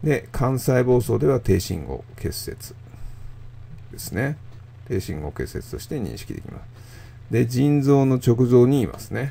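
Male voice with vocal fry and a dark, mellow tone, fairly slow, with big swings in loudness and long, frequent pauses. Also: medium pitch for a man, ordinary pitch variation. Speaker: radiologist. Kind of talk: lecture. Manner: calm, measured with frequent filler pauses.

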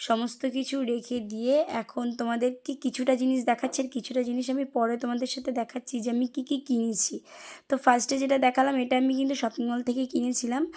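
On a very clean recording with a silent background, a woman speaks in a high pitch with a dark, mellow tone and monotone, flat intonation. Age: young. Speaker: lifestyle vlogger. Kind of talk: vlog voice-over. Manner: casual, repetitive fillers.

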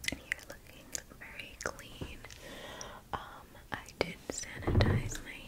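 Whispering very slowly, a woman speaks. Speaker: ASMR creator. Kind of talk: ASMR personal attention role play. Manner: soft, gentle. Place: home room. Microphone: studio mic.

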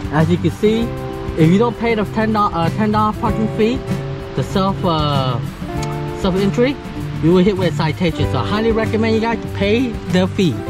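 A woman at a moderate pace with long, frequent pauses, a dry sound with no echo, and clear music in the background. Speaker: travel vlogger. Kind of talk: casual vlog chat. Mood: awed, excited. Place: forest. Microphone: phone near.

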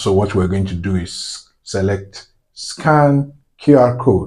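At a very slow pace, a man with a fairly low pitch speaks somewhat breathily, with ordinary pitch variation. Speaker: tech tutorial maker. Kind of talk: tutorial. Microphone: phone near.

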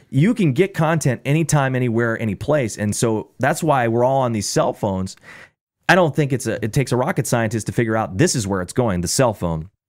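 A man with a plain, everyday voice speaks at a medium pitch and a fairly quick pace. The recording is very clean, with a silent background. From Illinois Midwest, raised in a small town. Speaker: radio broadcaster, sports radio programming director and voiceover artist. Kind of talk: casual podcast interview answer.

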